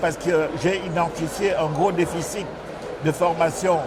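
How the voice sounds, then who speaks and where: A man's high-pitched voice at a fairly slow pace, with noticeable background noise and audible room echo. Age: 60s. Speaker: organic agriculture business leader. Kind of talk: interview. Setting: climate conference. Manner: halting, many fillers.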